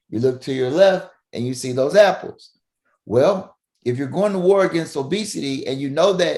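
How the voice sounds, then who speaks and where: A loud, animated man with a Southern US accent, very wide pitch swings, at a moderate pace. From Mississippi, US South. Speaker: family physician. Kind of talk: podcast interview. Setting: remote call from home upstairs room.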